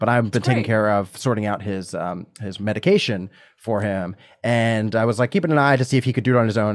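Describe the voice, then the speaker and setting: A man's fairly low-pitched voice against a quiet background. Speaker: comedian. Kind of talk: casual chat. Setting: video call. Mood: playful, laughing banter. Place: home room. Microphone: studio mic.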